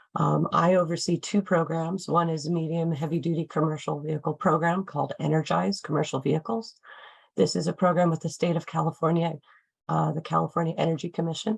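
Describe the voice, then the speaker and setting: Very fast speech from a woman with an American accent, fairly low-pitched with vocal fry and fairly even intonation, against a quiet background. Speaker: nonprofit program director. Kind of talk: panel introduction. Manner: hesitant, many fillers.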